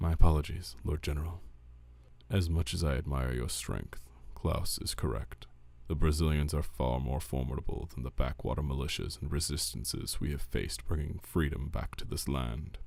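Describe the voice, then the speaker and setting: A man does a put-on character voice, gruff and very deep. He keeps a moderate pace. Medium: read story.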